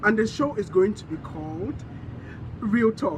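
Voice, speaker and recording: A man's high voice with lively intonation, over noticeable background noise. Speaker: online talk show host. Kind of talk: casual vlog monologue.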